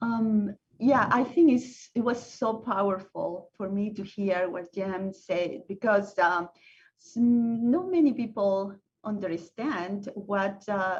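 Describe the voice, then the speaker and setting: Her voice is somewhat breathy and sits at a medium pitch. The woman speaks at a very slow pace, with big swings in loudness. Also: ordinary pitch variation. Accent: Spanish. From Venezuela, Caracas. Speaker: panel speaker. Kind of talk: panel discussion. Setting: video call. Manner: halting.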